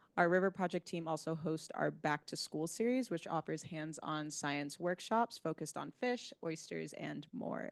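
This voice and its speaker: Against a quiet background, a woman with an American accent speaks in a normal speaking voice, fairly low in pitch with ordinary pitch variation, at a moderate pace and with a dry, close sound with no echo. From New York. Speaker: park education staff presenter. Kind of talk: meeting presentation. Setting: meeting room with hybrid video call.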